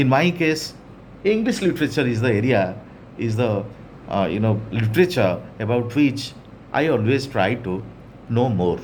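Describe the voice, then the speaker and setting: There is audible room echo as a man speaks at a moderate pace, his intonation lively and his pauses long and frequent. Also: medium pitch for a man. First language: Odia. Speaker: English teacher. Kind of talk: lecture.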